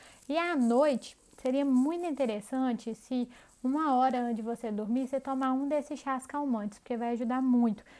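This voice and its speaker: At a moderate pace, a woman speaks at a high pitch with a dark, mellow tone and fairly even intonation. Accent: strong Minas Gerais. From Brazil, Minas Gerais. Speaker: health and diet coach. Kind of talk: online course lesson. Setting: pre-recorded video. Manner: conversational.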